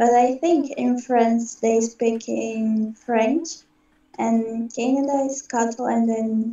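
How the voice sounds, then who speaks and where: The speaker talks at a very slow pace with a Portuguese accent. The intonation stays fairly even. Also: woman, fairly high pitch for a woman. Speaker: English student. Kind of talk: language lesson practice. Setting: video call. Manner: halting.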